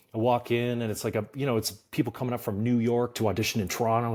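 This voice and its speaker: With a Canadian accent, a man speaks at a very fast pace. The recording is very clean and the background silent. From Canada, small country town. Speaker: musical theatre actor. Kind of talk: casual chat. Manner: animated.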